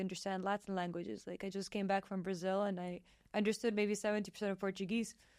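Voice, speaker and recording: With a Serbian accent, a woman at medium pitch talks at a very fast pace in a very clean recording with a silent background. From Serbian, raised abroad in international schools. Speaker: podcast host. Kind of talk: casual interview chat. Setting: studio. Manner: animated.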